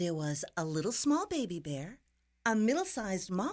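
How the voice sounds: What we hear is a natural reading voice. The text is read aloud.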